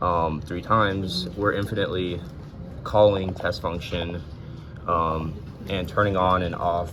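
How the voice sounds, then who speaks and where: A man's very deep, low voice with monotone, flat intonation, a fairly slow pace and long, frequent pauses, set in audible room echo and noticeable background noise. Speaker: engineering student. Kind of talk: lab demo tutorial. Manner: hesitant, many fillers.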